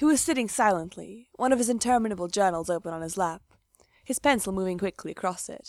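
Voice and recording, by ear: A natural voice reads aloud while the background stays quiet.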